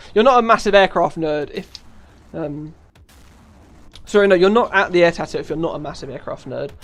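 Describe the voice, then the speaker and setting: This man speaks with a strong British accent. His pitch varies in an ordinary way. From United Kingdom. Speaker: live streamer, gamer. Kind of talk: casual live stream chat.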